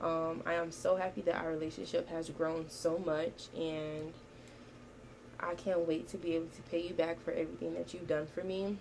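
A woman's fairly even intonation and moderate pace are heard over noticeable background noise. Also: fairly low pitch for a woman. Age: 19. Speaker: podcast host and college student. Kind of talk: casual monologue. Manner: casual, with frequent fillers.

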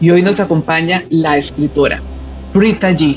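Against noticeable background noise, a woman speaks in a fairly low pitch. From Colombia. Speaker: interviewer. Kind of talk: interview introduction.

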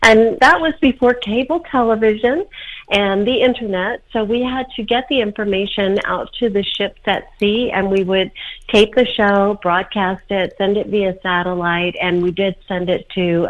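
Speaking at a fairly slow pace, a woman uses an ordinary speaking voice. Her pitch is medium and varies in an ordinary way. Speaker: public relations consultant and whistleblower. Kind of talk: interview.

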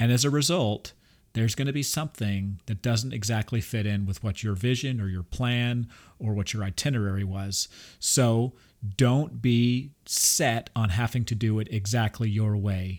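Here is a man with a plain, everyday voice, medium in pitch and moderate in pace. His pitch varies in an ordinary way, and the recording is very clean with a silent background. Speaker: podcast host. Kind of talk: casual chat.

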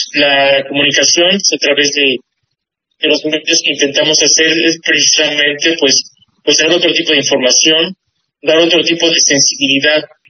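Flat and monotone, a man's fairly high voice carries little pitch movement. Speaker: visual artist. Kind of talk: radio interview. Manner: halting.

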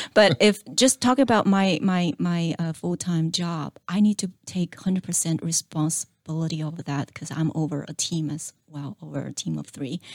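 A woman with a Chinese accent speaks at a moderate pace with hardly any pauses, at a fairly low pitch with ordinary pitch variation and big swings in loudness, in a dry, close sound with no echo. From China. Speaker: small business owner. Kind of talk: interview.

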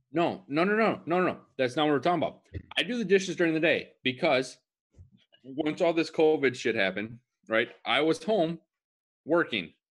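With vocal fry and lively intonation, a fairly high-pitched man moves at a fairly quick pace but leaves long, frequent pauses. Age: 20s. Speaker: podcast co-host. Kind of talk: casual chat.

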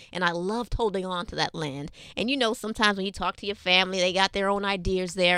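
Speaking very fast in a New York accent, a woman with a medium pitch and a bright, sharp tone comes through on a very clean recording with a silent background. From New York City. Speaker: health educator. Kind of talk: interview.

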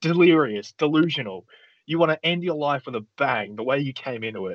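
A man's plain, everyday voice at a moderate pace, with lively intonation. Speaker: podcast co-host. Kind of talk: casual game-show banter.

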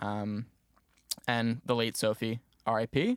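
A man with a medium-pitched voice and an American accent talks in a monotone, flat way, the sound dry and close with no echo and the recording very clean over a silent background. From New Jersey. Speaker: music business student and podcast producer. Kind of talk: casual interview.

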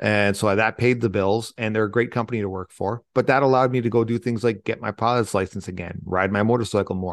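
In a plain, everyday voice, the speaker talks at a fairly quick pace with fairly even intonation against a quiet background. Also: man, dry, close sound with no echo. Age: 40s. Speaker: military veteran and leadership speaker. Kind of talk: interview.

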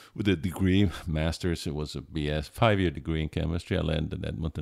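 On a very clean recording with a silent background, a man with an Italian accent speaks fairly quickly at a very deep, low pitch with fairly even intonation. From Italy. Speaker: chemist. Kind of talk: casual interview. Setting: on vacation in Palm Springs.

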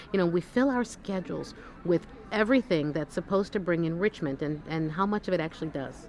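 Crowd noise fills the background as a woman speaks at a very fast pace. Her pitch is fairly low, and her intonation is lively. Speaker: breast cancer surgeon. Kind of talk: casual interview. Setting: conference exhibit booth. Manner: animated.

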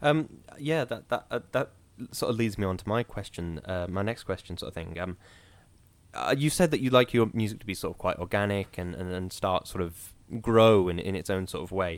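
A plain, everyday voice moves at a fairly quick pace with lively intonation, recorded very cleanly over a silent background. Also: man, fairly low pitch for a man. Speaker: podcast host. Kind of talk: casual chat.

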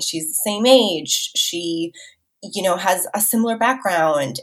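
A fairly slow, lively-intoned delivery with an Upper Midwest accent. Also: woman. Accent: Upper Midwest American. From rural Minnesota. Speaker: food tour owner and guide. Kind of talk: casual interview.

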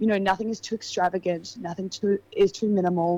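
In an Australian accent, a woman speaks at a medium pitch. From Australia, Adelaide Hills. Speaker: model. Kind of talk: casual chat.

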